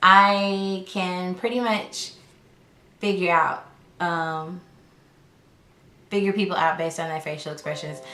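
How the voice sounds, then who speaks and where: The voice carries an American accent and a bright, sharp tone, with fairly even intonation at a fairly slow pace. Long, frequent pauses break it up, and audible room echo surrounds it. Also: woman, medium pitch for a woman. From US South, Arkansas. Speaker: lifestyle YouTuber. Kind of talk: casual chat.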